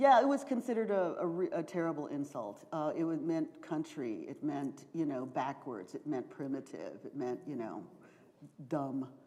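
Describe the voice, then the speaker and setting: A woman with an American accent speaks at a moderate pace in a very deep, low pitch. Her dark, mellow tone carries very wide pitch swings. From US South, Charleston, South Carolina. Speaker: professor and author. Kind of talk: Q&A after a lecture. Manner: hesitant, many fillers.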